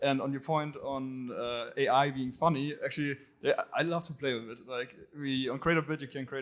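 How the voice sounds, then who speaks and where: A man with a German accent and fairly even intonation. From Germany. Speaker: startup founder, panelist. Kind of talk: panel discussion.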